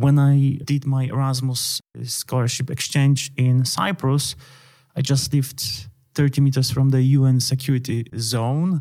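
Speaking in a Polish accent, a man with a fairly high pitch and a dark, mellow tone keeps his intonation fairly even. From Poland. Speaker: international relations analyst and journal editor. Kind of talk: interview.

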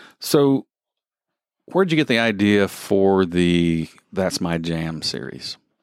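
Speaking in a Southern US accent, a man talks at a very slow pace in a very deep, low voice with lively intonation and long, frequent pauses. The recording is very clean, with a silent background. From US South. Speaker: podcast co-host. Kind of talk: casual chat.

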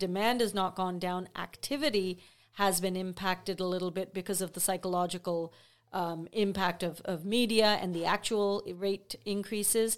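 A normal speaking voice with fairly even intonation and a moderate pace, on a very clean recording with a silent background. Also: woman, medium pitch for a woman. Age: 50s. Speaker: real estate sales representative. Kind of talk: casual chat.

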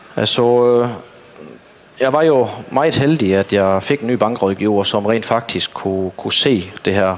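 Very slowly, a man speaks at medium pitch with ordinary pitch variation, against noticeable background noise. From Southern Jutland, Denmark. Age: 30s. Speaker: dairy farmer. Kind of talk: interview on stage. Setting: stage at an event. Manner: halting.

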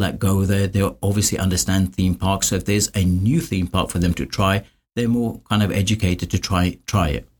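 A somewhat breathy voice moves at a fairly quick pace on a very clean recording with a silent background. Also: man. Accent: London. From London, England. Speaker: construction cost consultant. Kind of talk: interview.

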